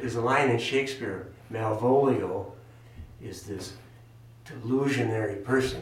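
Noticeable background noise sits behind a man speaking at a medium pitch with ordinary pitch variation. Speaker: former priest and monk, discussion guest. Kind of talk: casual group discussion.

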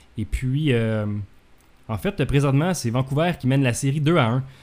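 Medium-pitched male voice, dark and mellow, at a moderate pace with ordinary pitch variation. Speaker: podcast host. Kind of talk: casual talk show hosting. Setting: home office.

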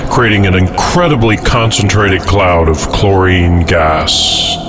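Noticeable background noise around a man's fairly low voice with ordinary pitch variation. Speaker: pirate radio host. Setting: pirate radio broadcast.

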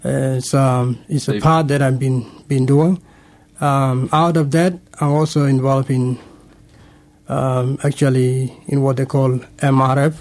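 With a Sudanese accent, a man speaks at a medium pitch and a fairly slow pace, his loudness very even. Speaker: refugee interviewee. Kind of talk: radio interview. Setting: studio. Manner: halting, hesitant.

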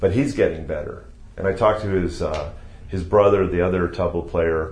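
With an American accent, a man speaks in a very deep, low, somewhat breathy voice, with audible room echo. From Ohio, US Midwest. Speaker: yoga teacher. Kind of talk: interview.

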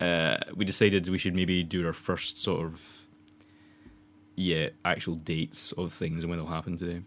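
Speaking with a Scottish accent, a man uses a very deep, low pitch. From Scotland. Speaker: podcast host, student filmmaker. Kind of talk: casual chat. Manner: fast.

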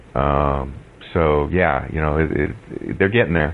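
A man speaks with a very deep, low pitch and fairly even intonation. Noticeable background noise sits behind him. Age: 40s. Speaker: blind Linux user and accessibility advocate. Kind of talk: interview.

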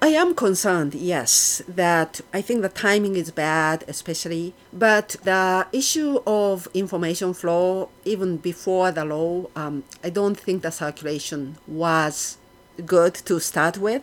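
Delivery is fairly slow with hardly any pauses and ordinary pitch variation. The recording is very clean with a silent background. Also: woman, fairly low pitch for a woman. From Japan, Yokohama. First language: Japanese. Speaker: archaeology professor. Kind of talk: interview.

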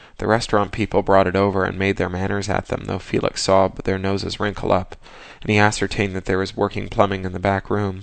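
What you hear is plain reading aloud.

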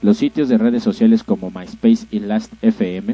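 A man is speaking. His pace is moderate. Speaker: podcast co-host. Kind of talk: reading news items aloud.

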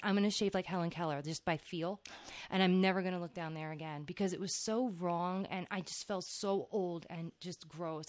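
A woman's fairly low voice with a New Jersey accent. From New Jersey (Old Bridge). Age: 30s. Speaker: podcast host. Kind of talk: casual chat.

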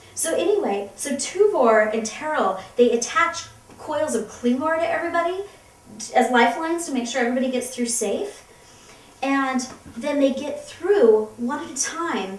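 A woman speaks at a moderate pace in a high voice, her tone animated and her intonation lively. Background noise is noticeable. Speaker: comedy web series co-host. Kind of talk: comedic dramatic reading of a novel.

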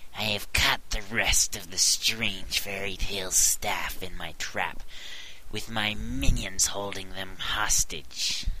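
A man puts on a character voice with a fairly low pitch, speaking at a fairly slow pace over clear background noise. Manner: gloating, menacing.

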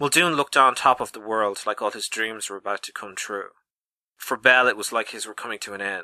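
The background is quiet. A speaker is reading aloud in a natural voice, with ordinary pitch variation.

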